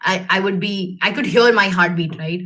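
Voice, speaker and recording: A woman of medium pitch at a moderate pace, with a bright, sharp tone and audible room echo. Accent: Indian. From India. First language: Hindi. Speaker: alumna speaker, engineer in industry. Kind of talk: career talk to students. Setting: video call webinar. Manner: hesitant, many fillers.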